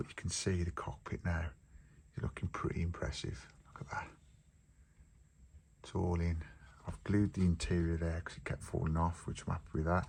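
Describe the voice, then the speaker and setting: A man with an English accent and a very deep, low pitch, at a moderate pace, with fairly even intonation and long, frequent pauses. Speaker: model building youtuber. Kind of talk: tutorial. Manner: casual.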